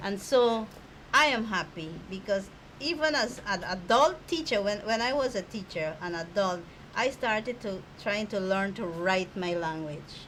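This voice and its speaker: A woman speaks with a Guyanese accent at a medium pitch. Her intonation is lively and her pace fairly slow. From Guyana, Amerindian village in the hinterland. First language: Akawayo. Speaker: government minister. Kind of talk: interview.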